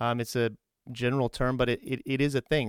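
Over a very clean recording with a silent background, a man with a medium pitch talks at a very fast pace, the sound dry and close with no echo. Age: 30s. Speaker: Navy recruiter and podcast host. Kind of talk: casual interview. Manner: upbeat.

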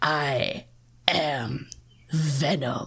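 This put-on character voice is raspy and sits at a low-to-middle pitch. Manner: menacing.

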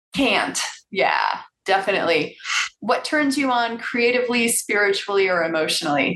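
A woman with an American accent speaks in an ordinary speaking voice at a medium pitch and moderate pace. Her intonation is lively while her loudness stays very even. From Chicago suburbs. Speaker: guest interviewer. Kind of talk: interview.

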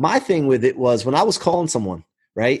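A man speaks with very wide pitch swings and vocal fry. The recording is very clean with a silent background. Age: 40s. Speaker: mortgage business leader. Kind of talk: casual interview.

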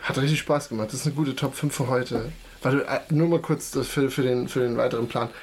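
Speaking at a fairly quick pace, a man keeps a medium pitch, fairly even intonation and very even loudness, with noticeable background noise behind him. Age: 20s. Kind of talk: casual chat. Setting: home basement, across a table.

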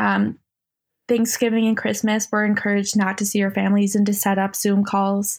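In an American accent, the speaker talks at a moderate pace with monotone, flat intonation and very even loudness on a very clean recording with a silent background. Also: woman, medium pitch for a woman. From upstate New York (Utica). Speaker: guest in addiction recovery, artist. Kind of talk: casual interview, personal testimony.

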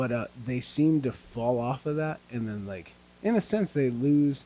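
A man uses a normal speaking voice at medium pitch, talking at a moderate pace with lively intonation. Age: 30s. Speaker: podcast co-host, strongman competitor. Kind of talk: casual chat.

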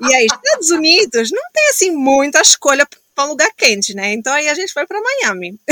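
A woman's raised, projected voice, high-pitched and fairly quick, with very wide pitch swings and a dry, close sound with no echo. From Angola, Luanda. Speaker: social entrepreneur. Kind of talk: casual interview chat.

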